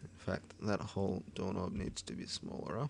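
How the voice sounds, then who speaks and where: This man has a fairly low voice and an Australian accent. He speaks at a moderate pace with lively intonation. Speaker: 3D modelling tutorial maker. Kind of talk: screen-recorded software tutorial. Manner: casual, rambling.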